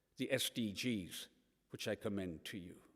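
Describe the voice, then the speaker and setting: The speaker has a Hebridean accent, captured on a very clean recording with a silent background. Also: man. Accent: Scottish Hebridean. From Scotland, Isle of Lewis. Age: 60s. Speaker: environmental campaigner and author. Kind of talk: lecture. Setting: church hall with live audience.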